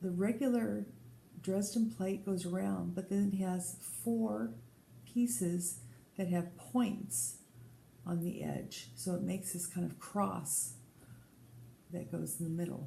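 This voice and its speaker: Speaking very slowly with long, frequent pauses, a woman with an American accent uses a fairly low pitch, very wide pitch swings, a somewhat breathy, dark, mellow tone, and audible room echo. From Colorado. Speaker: podcast host. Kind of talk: casual chat.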